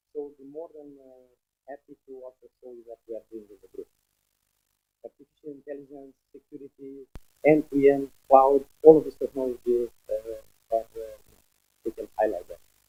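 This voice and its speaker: Against music in the background, a man speaks at a moderate pace with a fairly high pitch, fairly even intonation, big swings in loudness, and long, frequent pauses, in a dry, close sound with no echo. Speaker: telecom business executive. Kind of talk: business meeting speech.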